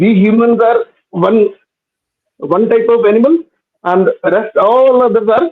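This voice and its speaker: A man's high-pitched voice carries lively intonation at a moderate pace. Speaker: atheist debater calling in. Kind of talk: live online debate. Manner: halting. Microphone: voice cutting out.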